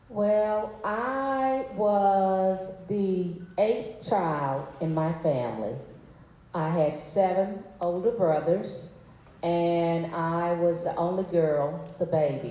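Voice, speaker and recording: A woman with a Mississippi accent and a fairly low pitch speaks very slowly, her intonation lively. Audible room echo and noticeable background noise fill the recording. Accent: Southern US (Mississippi). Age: 60s. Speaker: civil rights leader's daughter, panelist. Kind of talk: personal storytelling on panel.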